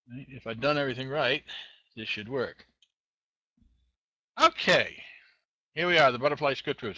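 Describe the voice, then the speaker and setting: With an American accent, the speaker uses a bright, sharp tone, big swings in loudness and long, frequent pauses. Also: man, fairly high pitch for a man, ordinary pitch variation, moderate pace. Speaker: web tech show host. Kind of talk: screen-share tutorial. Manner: casual, halting with fillers.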